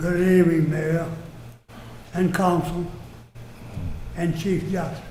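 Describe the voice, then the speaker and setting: A high-pitched man at a fairly slow pace, monotone and flat, with long, frequent pauses, audible room echo and noticeable background noise. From Louisiana, Gonzales. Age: 90s. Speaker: resident speaking at council. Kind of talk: public comment. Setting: city council meeting.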